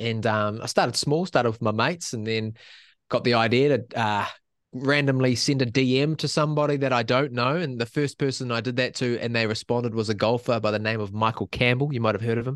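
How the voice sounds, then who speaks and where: A man with a New Zealand accent, medium in pitch, with fairly even intonation and a very fast pace, over a quiet background. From New Zealand, Waikato. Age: 20s. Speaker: school teacher and podcaster. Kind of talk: casual interview, faith testimony.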